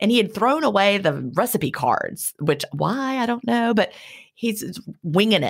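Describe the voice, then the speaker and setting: A woman speaks at a fairly slow pace with a fairly high pitch and vocal fry. Her pitch swings very widely. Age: 50s. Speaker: podcast co-host and retired teacher. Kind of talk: casual chat.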